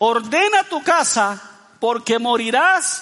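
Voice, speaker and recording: Raised and projected, a man's voice sits at an extremely high pitch with very wide pitch swings, moving at a very slow pace against noticeable background noise. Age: 50s. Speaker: pastor. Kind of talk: sermon.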